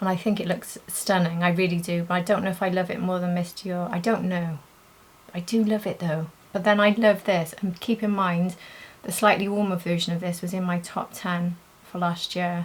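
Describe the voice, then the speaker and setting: A soft-spoken woman with a British accent, medium in pitch, monotone and flat, at a moderate pace. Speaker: beauty youtuber. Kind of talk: makeup tutorial and review. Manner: soft-spoken, talking quietly.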